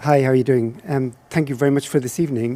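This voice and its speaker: With an Irish accent, a man speaks very fast in a fairly high pitch, his tone dark and mellow and his pitch varying in an ordinary way. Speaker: audience member, HIV activist. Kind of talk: audience question.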